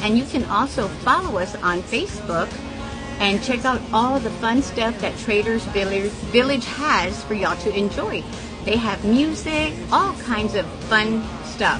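A woman talks at a fairly slow speed. Clear music can be heard behind her. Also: ordinary pitch variation. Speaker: small business vendor. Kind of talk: casual promotional vlog chat. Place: market. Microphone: phone near.

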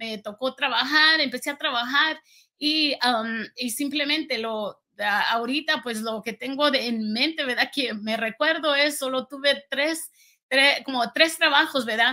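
A woman's raised, projected voice rings out high. Her tone comes across bright and sharp. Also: ordinary pitch variation, fairly slow pace, quiet background. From rural Guanajuato, Mexico. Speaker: entrepreneur. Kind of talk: testimony. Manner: halting, many fillers. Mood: reflective, earnest storytelling.

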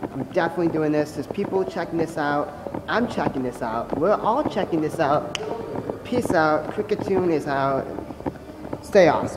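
Moderate pace amid noticeable background noise. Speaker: vlogger. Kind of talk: casual vlog chat. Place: station. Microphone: phone near.

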